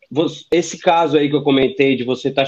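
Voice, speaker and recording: A man's plain, everyday voice at medium pitch, moving at a fairly quick pace. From Brazil. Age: 30s. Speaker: former exchange student, engineer. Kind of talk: casual chat.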